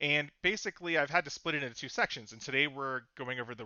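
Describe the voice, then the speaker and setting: Delivered at a very fast pace, a man's speech keeps a fairly even intonation. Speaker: security researcher and conference speaker. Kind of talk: conference talk. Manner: many filler words.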